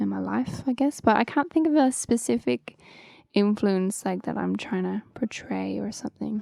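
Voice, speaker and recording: In a slight Irish accent, a woman talks at a fairly slow pace with a dry, close sound and no echo. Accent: Irish, slight lilt. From Ireland, County Wicklow. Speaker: singer-songwriter. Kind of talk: interview. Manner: casual, many fillers.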